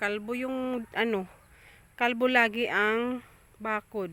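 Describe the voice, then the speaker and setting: A woman talks in a monotone, flat intonation. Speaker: farmer vlogger. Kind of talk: casual vlog walkthrough. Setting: outdoors on a farm. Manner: loud.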